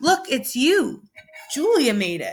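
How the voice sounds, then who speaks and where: Very wide pitch swings run through this put-on character voice. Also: woman. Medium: read story.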